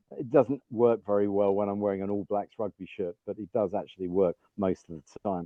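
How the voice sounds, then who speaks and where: A man with an English accent speaks at a fairly quick pace with hardly any pauses, a fairly low pitch and fairly even intonation. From England. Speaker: business leader. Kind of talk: podcast interview.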